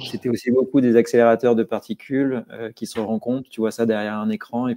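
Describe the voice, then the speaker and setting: A man with a medium-pitched voice and a dark, mellow tone speaks at a moderate pace with fairly even intonation, recorded dry and close with no echo against a quiet background. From Corsica (Bastia), France. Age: 40s. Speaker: crypto security consultant. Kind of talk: podcast interview. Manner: hesitant, many fillers and repetitions.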